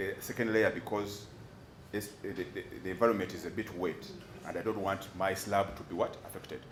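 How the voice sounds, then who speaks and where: Noticeable background noise and audible room echo around a man talking at a moderate pace. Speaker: doctor testifying as defence witness. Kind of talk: court testimony. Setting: courtroom. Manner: halting, repeats words.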